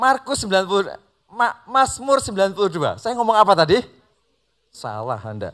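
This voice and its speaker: At a moderate pace, a man with a high pitch speaks with lively intonation. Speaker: pastor. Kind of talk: sermon.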